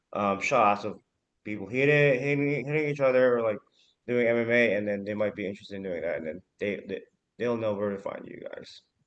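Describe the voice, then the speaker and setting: A man speaks at a medium pitch in an American accent, using a plain, everyday voice. His pace is fairly quick, with ordinary pitch variation. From Arizona, US. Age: 30s. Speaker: founder of a Filipino news media organization. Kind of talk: casual chat.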